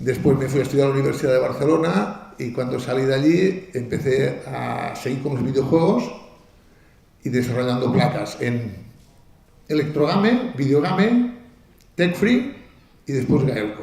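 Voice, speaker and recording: With audible room echo and noticeable background noise, a man with a fairly high voice and a Catalan accent speaks with lively intonation and long, frequent pauses. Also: moderate pace. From Catalonia. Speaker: video game hardware engineer. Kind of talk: conference talk. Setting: stage with audience. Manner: halting, many fillers and restarts.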